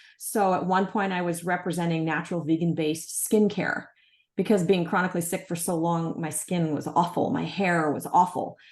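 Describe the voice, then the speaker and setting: Against a quiet background, a woman speaks in a plain, everyday voice, fairly low in pitch, at a moderate pace with fairly even intonation. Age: 60s. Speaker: natural health entrepreneur. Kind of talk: interview conversation.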